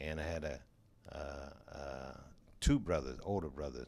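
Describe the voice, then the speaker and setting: Vocal fry runs through the dark, mellow tone of a man with an American accent. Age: 70s. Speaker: jazz drummer. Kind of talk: interview.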